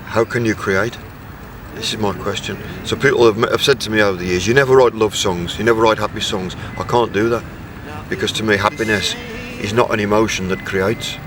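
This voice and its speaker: With music in the background, a man talks at a fairly quick pace. His pitch is fairly low and his intonation fairly even. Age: 60s. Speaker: musician. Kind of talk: interview.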